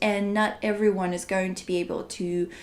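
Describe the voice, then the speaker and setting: This is a woman talking. She has a Russian accent. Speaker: translator. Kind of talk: interview.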